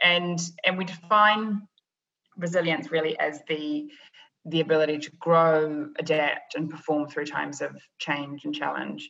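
In a New Zealand accent, a woman speaks fairly slowly with a bright, sharp tone, a very deep, low pitch and fairly even intonation. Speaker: business psychologist, leadership consultant. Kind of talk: interview podcast.

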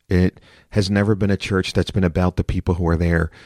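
Very deep and low, a man's voice comes through with monotone, flat intonation on a very clean recording with a silent background and a dry, close sound with no echo. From US Northeast, Philadelphia. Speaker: pastor. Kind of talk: interview conversation.

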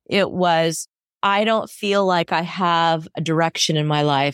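In a very clean recording with a silent background, a woman speaks in a plain, everyday voice, fairly low in pitch with fairly even intonation. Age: 50s. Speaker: hypnotherapist and coach. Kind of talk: interview.

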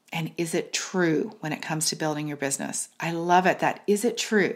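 With an animated tone and a moderate pace, a woman talks over a silent background in a very clean recording. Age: 50s. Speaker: business coach podcast host. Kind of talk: solo podcast monologue.

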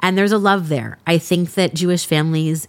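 A woman with an American accent and fairly low pitch speaks at a fairly quick pace on a very clean recording with a silent background. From US West Coast, Los Angeles (San Fernando Valley). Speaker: podcast host. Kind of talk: casual interview.

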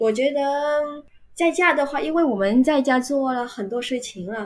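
A woman speaks at a fairly slow pace, using ordinary pitch variation. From Vietnam, Ho Chi Minh City. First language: Vietnamese (speaking Chinese). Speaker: university Chinese teacher. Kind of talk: casual interview chat. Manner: hesitant, many filler sounds.

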